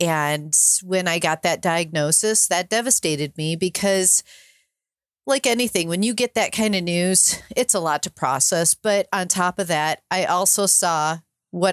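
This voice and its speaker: A woman with a plain, everyday voice, fairly low pitch and ordinary pitch variation, in a dry, close sound with no echo. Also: very clean recording, silent background. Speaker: podcaster and sailor, cancer survivor. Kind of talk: interview conversation.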